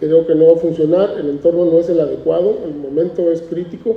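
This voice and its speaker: Through noticeable background noise, a man with a high pitch speaks at a moderate pace. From Mexico, Tijuana (Baja California border). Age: 60s. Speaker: artist. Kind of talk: interview at a book presentation.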